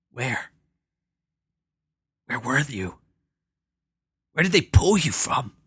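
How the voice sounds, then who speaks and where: A man puts on a raspy, strained character voice at medium pitch, with very wide pitch swings. He talks at a fairly slow pace with long, frequent pauses. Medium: read story. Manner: stammering.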